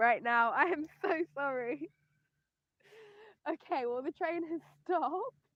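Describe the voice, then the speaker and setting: Fairly slow and dry, the close sound carrying no echo, a woman delivers her words in a raised, projected voice. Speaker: spiritual reader and astrologer. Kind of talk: live-streamed tarot and astrology reading. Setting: livestream. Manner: loud, shouting over noise.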